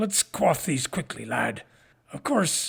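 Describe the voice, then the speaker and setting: A man speaks in a put-on character voice. His pitch is high and raspy. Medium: read story. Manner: warm, folksy.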